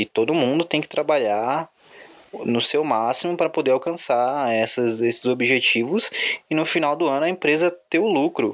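At a moderate pace, a man talks with very even loudness, a fairly high pitch and ordinary pitch variation. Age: 20s. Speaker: football fan podcaster. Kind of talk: solo sports commentary podcast. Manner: casual, with hesitations.

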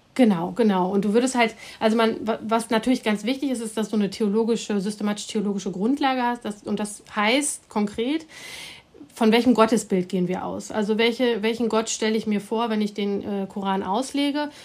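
A woman's fairly high, rather level voice comes at a brisk clip, with clear background noise behind it. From Germany, Hamm (Westphalia). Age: 40s. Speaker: professor of Islamic theology. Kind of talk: interview, expert explanation.

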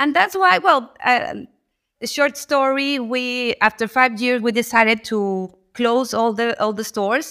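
A woman speaks at a fairly slow pace in a high voice. Her tone is bright and sharp, with ordinary pitch variation. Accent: Mexican. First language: Spanish. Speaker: local government economic development official. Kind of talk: interview. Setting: video call. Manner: halting.

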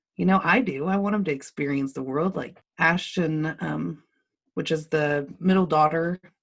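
A woman with an American accent speaks at a moderate pace. Her pitch is very deep and low, with ordinary variation. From Lubbock, Texas. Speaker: marketing business owner. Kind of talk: casual interview conversation.

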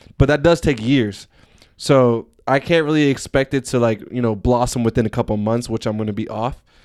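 A man with an ordinary speaking voice, medium pitch, and ordinary pitch variation, on a very clean recording with a silent background. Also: fairly quick pace. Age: 20s. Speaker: podcast host. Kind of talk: casual chat.

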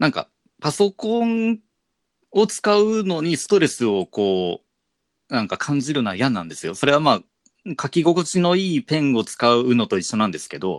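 The recording is very clean with a silent background, and a man's pitch swings very widely throughout. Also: fairly high pitch for a man, moderate pace, dry, close sound with no echo. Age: 30s. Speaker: podcast host, teacher. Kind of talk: casual chat.

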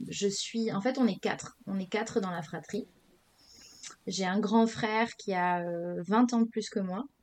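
Pausing long and often, a woman of medium pitch talks with fairly even intonation. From Senegal. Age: 30s. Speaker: entrepreneur. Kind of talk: casual interview.

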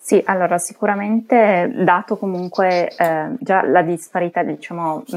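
A woman talks in a fairly low voice. Her pitch varies in an ordinary way. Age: 20s. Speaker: IT consultant, engineer. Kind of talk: casual chat. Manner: hesitant, many fillers.

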